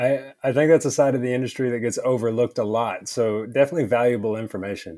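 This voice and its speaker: A man's medium-pitched voice with a strong Southern US accent, dark and mellow in tone, at a very fast pace with ordinary pitch variation and hardly any pauses. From Texas, Texarkana. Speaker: leatherworker, small business owner. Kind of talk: casual interview.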